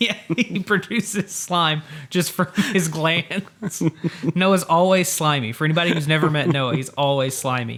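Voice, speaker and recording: Here is a plain, everyday voice, speaking at a moderate speed. The accent is American, and the pitch moves in an ordinary way. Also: man, fairly high pitch for a man. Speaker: podcast co-host. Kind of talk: casual chat.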